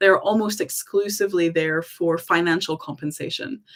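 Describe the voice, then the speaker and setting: With a moderate pace and an American accent, a woman speaks on a very clean recording with a silent background. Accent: half American, half Scottish. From US South, Tennessee. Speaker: employment rights advisor. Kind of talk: live stream Q&A. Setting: livestream. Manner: casual, with many filler ums.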